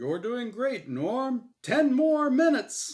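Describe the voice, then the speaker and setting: In a put-on character voice, a man speaks at an extremely high pitch. His pace is very slow. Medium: read story. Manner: cheery game show patter.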